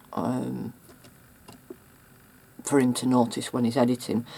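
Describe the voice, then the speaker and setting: Speaking at a fairly slow pace, a woman uses a very deep, low pitch with vocal fry and a dark, mellow tone. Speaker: mixed media artist. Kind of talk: casual talk to camera. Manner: hesitant, halting.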